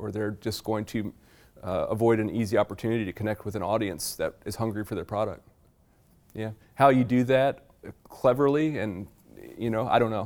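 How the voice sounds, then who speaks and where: Fairly quick speech from a man at medium pitch, with fairly even intonation and long, frequent pauses. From Virginia, US South. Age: 40s. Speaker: farmer and author. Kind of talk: public talk to a library audience.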